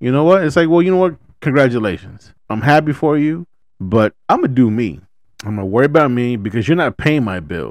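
With an American accent, a man of medium pitch speaks at a fairly quick pace, his pitch swinging very widely. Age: 30s. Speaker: podcast host. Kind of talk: casual chat. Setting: studio.

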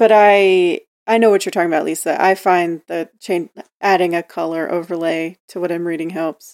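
A woman talks at a moderate pace in a normal speaking voice, her pitch fairly low and her intonation fairly even. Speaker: podcast co-host. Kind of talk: casual interview chat.

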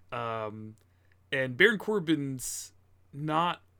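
A normal speaking voice from a man, fairly high in pitch with lively intonation, on a very clean recording with a silent background. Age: 20s. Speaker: podcast co-host. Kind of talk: casual chat.

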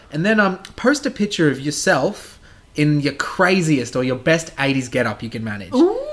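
Pitch swings very widely as a man talks, fairly high for his voice, at a moderate pace. Noticeable background noise runs underneath. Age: 20s. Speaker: podcast co-host. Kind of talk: casual chat.

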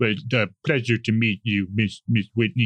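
In a put-on character voice, a man speaks gruffly at a medium pitch.

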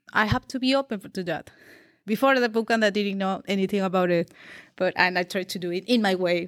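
A very fast woman in a Peruvian accent, at a medium pitch with ordinary pitch variation, on a very clean recording with a silent background and a dry, close sound with no echo. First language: Spanish. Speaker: developer and community organizer. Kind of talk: casual interview, personal story. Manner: halting, searching for words.

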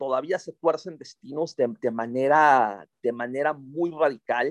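With a dry, close sound and no echo, a man speaks at a fairly slow pace with ordinary pitch variation. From Monterrey, northern Mexico. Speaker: novelist and journalist. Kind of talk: interview. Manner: halting, repeats words.

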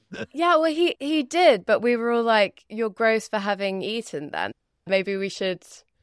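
A woman with a British accent and lively intonation at a moderate pace, dry and close with no echo over a quiet background. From Britain. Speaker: podcast host. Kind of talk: casual chat.

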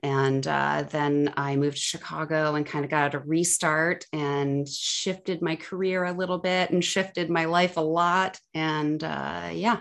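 A woman talks with hardly any pauses. Her voice is very deep and low. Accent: Midwestern American. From US Midwest, Ohio (Cleveland/Akron suburbs). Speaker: health coach. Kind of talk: interview.

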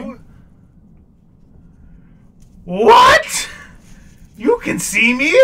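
An extremely high-pitched character voice put on by a man. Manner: stuttering, hesitant.

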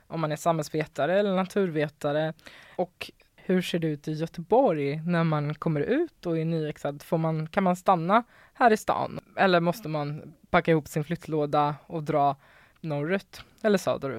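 A woman's fairly low voice with ordinary pitch variation at a fairly slow pace, dry and close with no echo, on a very clean recording over a silent background. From Västernorrland, northern Sweden (Sundsvall). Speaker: podcast host. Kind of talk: casual chat. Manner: animated.

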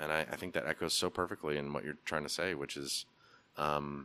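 A man with an American accent speaks in a bright, sharp tone with vocal fry. The recording is very clean, with a silent background. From US Northwest, Portland. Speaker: clothing store owner. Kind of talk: casual interview.

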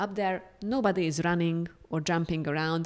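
On a very clean recording with a silent background, a woman with a Hungarian accent speaks at a moderate pace and a fairly low pitch, with ordinary pitch variation. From Hungary. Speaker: museum educator and graduate student. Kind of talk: interview.

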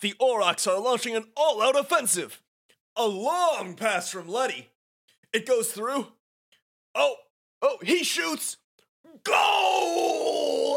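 Putting on a character voice, a man speaks in an extremely high pitch, raised and projected, at a very slow pace. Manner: excited, dramatic play-by-play.

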